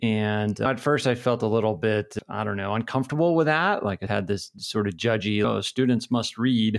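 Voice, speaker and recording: A man with an American accent and a normal speaking voice, fairly low in pitch with ordinary pitch variation, at a moderate pace with hardly any pauses. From New Hampshire, US. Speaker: business professor and podcast host. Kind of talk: interview chat.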